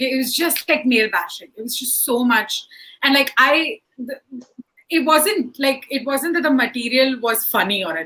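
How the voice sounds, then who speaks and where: A woman's raised, projected voice, high-pitched with a bright, sharp, animated tone, at a moderate pace. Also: lively intonation. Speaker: stand-up comedian. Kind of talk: panel discussion. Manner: loud.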